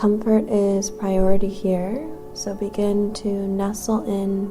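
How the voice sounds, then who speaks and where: A woman's medium-pitched, monotone voice with flat intonation at a very slow pace, with music in the background. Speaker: meditation guide. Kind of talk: yoga nidra guided meditation. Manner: soothing, slow, calm.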